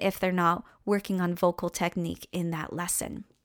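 An unremarkable speaking voice from a woman at a medium pitch and moderate pace, in a dry, close sound with no echo and a very clean recording with a silent background. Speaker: voice teacher and music therapist. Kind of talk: solo podcast monologue with personal storytelling. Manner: warm, upbeat, chatty.

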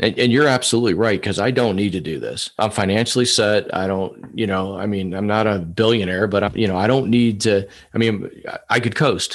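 Against a quiet background, a man with a fairly low pitch speaks at a fairly quick pace. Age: 50s. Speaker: sales professional. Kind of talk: casual interview. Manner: animated.

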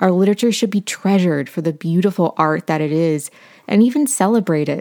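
A woman with an American accent uses an ordinary speaking voice, fairly low in pitch with ordinary pitch variation. The very clean recording has a silent background and a dry, close sound with no echo. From Appalachian Ohio. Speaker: podcast host. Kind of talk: casual chat. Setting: home library.

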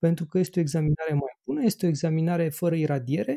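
The sound is dry and close with no echo as a man speaks in a dark, mellow tone. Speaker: podcast host and radiologist. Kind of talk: casual chat.

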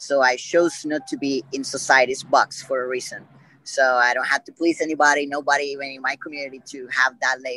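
Using fairly even intonation, a man with a Puerto Rican accent and a fairly high pitch speaks at a fairly quick pace. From Puerto Rico. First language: Spanish. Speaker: podcast guest. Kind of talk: interview.

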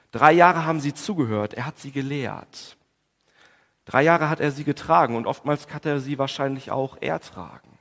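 A man at a moderate pace, fairly high-pitched, with ordinary pitch variation and big swings in loudness. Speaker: preacher. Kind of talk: Good Friday sermon in church, calm and explanatory, with prayer. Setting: church. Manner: measured, earnest, formal preaching delivery with some hesitation fillers.

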